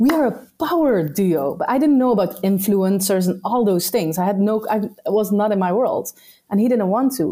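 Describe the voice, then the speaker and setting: The speaker has a Dutch accent and a dark, mellow tone, talking at a moderate pace in a very clean recording with a silent background. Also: woman. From Netherlands. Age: 30s. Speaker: entrepreneur. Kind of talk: casual chat.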